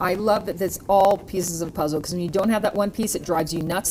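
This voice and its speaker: A woman speaks at a very fast pace with fairly low pitch and fairly even intonation, amid noticeable background noise. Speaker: TV health program host. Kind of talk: TV panel interview.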